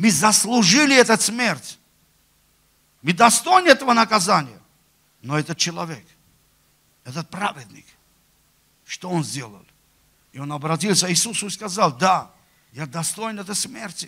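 A man with a high pitch projects a raised, bright, sharp voice with very wide pitch swings, big swings in loudness and long, frequent pauses against a quiet background. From Armenia. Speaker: preacher. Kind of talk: sermon. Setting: church. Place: church. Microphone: handheld.

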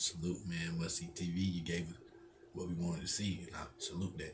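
A man speaks at a moderate pace in a very deep, low, somewhat breathy voice with monotone, flat intonation. Noticeable background noise runs underneath. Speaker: YouTube sports reaction creator. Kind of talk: live sports reaction commentary. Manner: casual, laughing, chatty. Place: home room. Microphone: webcam.

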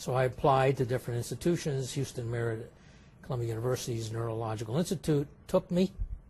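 Talking very fast with an American accent, a man uses a dark, mellow, somewhat breathy tone at a medium pitch with ordinary pitch variation. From California, Sacramento. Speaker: neurologist. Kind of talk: interview. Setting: medical congress.

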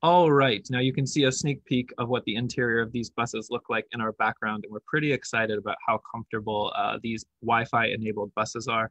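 A man talking at a fairly quick pace, dry with no echo, over a quiet background. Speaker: presenter. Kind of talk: presentation. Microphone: webcam.

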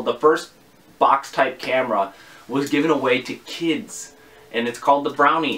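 Speaking at a moderate pace, a man shows ordinary pitch variation. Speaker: vintage camera reviewer. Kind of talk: tutorial. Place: home room. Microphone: camera far.

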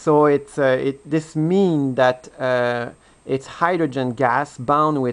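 Speaking in a French accent, a man goes very slowly. His intonation stays fairly even. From France. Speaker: hobbyist video blogger. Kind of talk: tutorial. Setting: home dining room. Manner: halting. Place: home room. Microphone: camera far.

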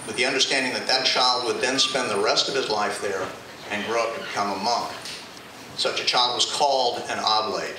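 Noticeable background noise and audible room echo surround the voice. A man talks at a moderate pace. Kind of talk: book talk to live audience. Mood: warm, measured. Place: cafe.

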